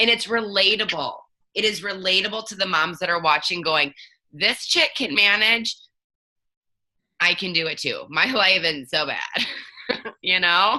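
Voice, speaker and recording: A woman speaks at a fairly slow pace and a medium pitch, in a bright, sharp, animated tone with lively intonation and long, frequent pauses. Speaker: network marketing distributor. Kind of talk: live video chat. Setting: live video. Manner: stutters a little.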